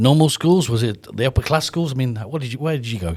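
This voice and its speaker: A man with a British accent at a very fast pace, ordinary pitch variation, and a very clean recording with a silent background. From UK. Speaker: podcast host. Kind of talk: interview. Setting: studio.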